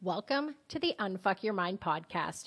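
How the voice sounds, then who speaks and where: The woman has an ordinary speaking voice, fairly high in pitch, with a Canadian accent and lively intonation. Her recording is very clean, with a silent background. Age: 40s. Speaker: podcast host. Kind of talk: scripted podcast intro monologue.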